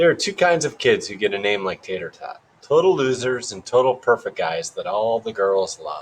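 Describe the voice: The speaker does plain reading aloud.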